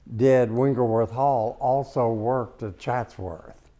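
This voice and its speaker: A man's dark, mellow voice at a medium pitch, with ordinary pitch variation and a very slow pace. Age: 80s+. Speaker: interior designer. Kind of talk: home tour talk. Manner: hesitant, storytelling.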